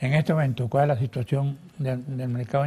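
A man speaks at a medium pitch in a dark, mellow tone. His voice is somewhat breathy, with fairly even intonation. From Venezuela, Falcón. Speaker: TV interviewer. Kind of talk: TV interview. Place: studio. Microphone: lapel.

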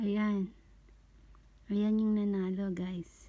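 Here a woman speaks at a very slow pace. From Philippines. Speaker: online content creator running a giveaway. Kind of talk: casual livestream-style giveaway announcement. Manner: casual, chatty, joking, self-correcting. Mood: cheerful, thankful, festive. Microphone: phone near.

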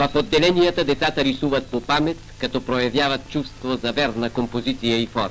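A man speaks at a fairly quick pace with music in the background. His pitch sits in the medium range and varies in an ordinary way. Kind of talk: newsreel narration.

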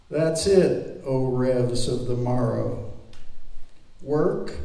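With audible room echo, a man speaks very slowly, his pitch varying in an ordinary way. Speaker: poet reading. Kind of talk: poetry reading. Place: hall. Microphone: camera far.

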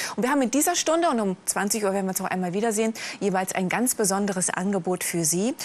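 Over light background noise, a woman with a medium pitch talks at a fairly quick pace with ordinary pitch variation. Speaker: teleshopping presenter. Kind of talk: sales pitch. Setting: live TV shopping studio. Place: studio. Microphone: lapel.

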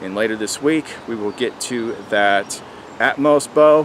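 Ordinary pitch variation comes through as a man talks, the sound dry with no echo and light background noise behind him. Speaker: outdoor gear reviewer. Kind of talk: casual vlog chat. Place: forest.

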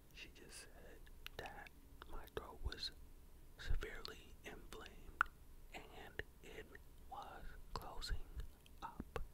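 Whispering at a very slow pace with long, frequent pauses, a man's loudness swings widely against noticeable background noise. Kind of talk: ASMR whispered ramble talking to camera. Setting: studio condenser mic at home. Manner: conversational storytelling.

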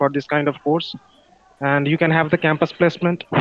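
A man with a Bengali accent, fairly high in pitch and monotone and flat, the sound dry with no echo against a quiet background. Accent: Bengali Indian. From India, West Bengal (Kolkata). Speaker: internal auditor, participant in English practice call. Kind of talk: casual conversation practice. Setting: video call. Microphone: video call.

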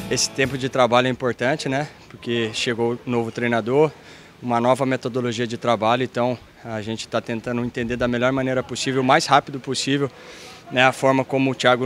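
A man speaks very fast in a monotone, flat intonation. The sound is dry with no echo, over light background noise. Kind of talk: interview answer. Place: street. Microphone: handheld.

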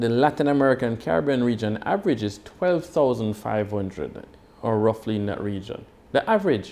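Here a man speaks with a dark, mellow tone. His intonation is lively and his pace moderate. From Jamaica. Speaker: company founder and CEO. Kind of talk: corporate presentation. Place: office. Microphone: lapel.

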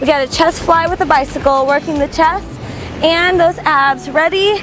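A woman speaks at an extremely high pitch and a fairly slow pace, with ordinary pitch variation. Music plays in the background of a dry recording with no echo. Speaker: fitness instructor. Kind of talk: workout instruction. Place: beach. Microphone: lapel.

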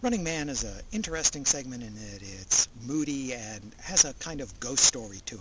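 Amid loud background noise, a man talks at a fairly quick pace, the sound dry with no echo. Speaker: anime reviewer. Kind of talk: review commentary. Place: open country.

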